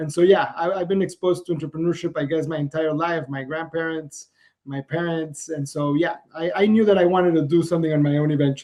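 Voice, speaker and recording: With a Spanish accent, a man speaks at a very fast pace and a fairly high pitch, his intonation fairly even. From Mexico. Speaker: entrepreneur. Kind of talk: interview. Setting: podcast.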